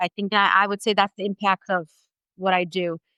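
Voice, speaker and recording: A woman's medium-pitched voice has a bright, sharp tone in a dry, close sound with no echo. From Italy, moved to US at 13. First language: Italian. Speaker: English as a new language teacher. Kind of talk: podcast interview.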